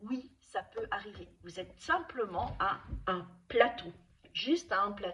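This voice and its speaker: Her pitch swings very widely as the woman talks at a very slow pace. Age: 60s. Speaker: nutrition and wellness coach. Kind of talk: advice video to camera. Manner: hesitant, with repetitions and fillers.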